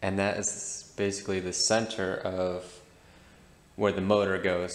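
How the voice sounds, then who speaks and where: A man with a very deep, low pitch speaks in a monotone, flat intonation with audible room echo. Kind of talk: tutorial. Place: garage. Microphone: phone near.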